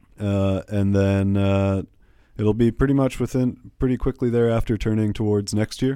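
A man with a Canadian accent and a plain, everyday voice speaks at a fairly low pitch, with fairly even intonation and very even loudness. The recording is very clean, with a silent background. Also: moderate pace. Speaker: festival director. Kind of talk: interview. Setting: studio.

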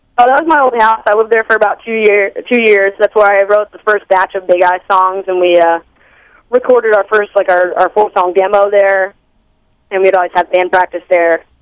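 A woman with an American accent talks at a fairly quick pace in a normal speaking voice, at medium pitch with ordinary pitch variation. The sound is dry and close, with no echo. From Long Island, New York (Long Beach). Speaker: rock band musician. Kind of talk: casual radio interview. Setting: phone call.

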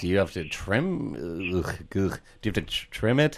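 A man's voice with very wide pitch swings. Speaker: campus radio co-host. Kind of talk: casual comedic radio chat. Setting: radio studio. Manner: playful, rhyming banter.

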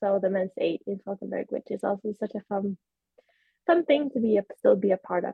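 This woman has a Swedish accent and a medium pitch. She speaks fairly quickly, with ordinary pitch variation. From Sweden. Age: 20s. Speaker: para-rower and kinesiology student. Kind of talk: interview. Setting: video call.

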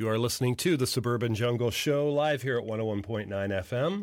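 On a very clean recording with a silent background, a man uses a plain, everyday voice at medium pitch with ordinary pitch variation. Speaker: community radio DJ. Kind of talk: laid-back radio DJ patter between songs, back-announcing tracks and time checks. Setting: radio studio. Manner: relaxed, unhurried delivery with frequent uh fillers; loose and wry, joking about ghosts in the machine.

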